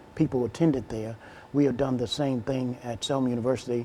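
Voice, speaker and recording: In an Alabama accent, a man speaks at medium pitch with fairly even intonation. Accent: Southern US (Alabama). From Alabama, US South. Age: 50s. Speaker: minister and educator. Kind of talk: interview.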